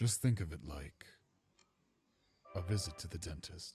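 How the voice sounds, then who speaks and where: A put-on character voice at a moderate pace. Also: man, very deep, low pitch for a man. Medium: fan dub. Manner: soft, gentle.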